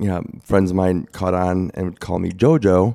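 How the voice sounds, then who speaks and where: With an American accent, a man speaks at a moderate pace in a very deep, low voice of dark, mellow tone, on a very clean recording with a silent background. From Chicago area, Illinois. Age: 40s. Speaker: leukemia survivor. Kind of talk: casual interview.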